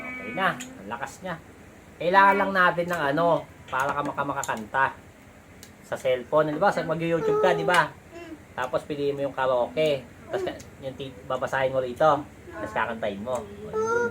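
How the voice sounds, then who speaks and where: Speaking at a fairly quick pace with fairly high pitch, a man makes very wide pitch swings and leaves long, frequent pauses. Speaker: parent doing unboxing video with child. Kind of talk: casual chat.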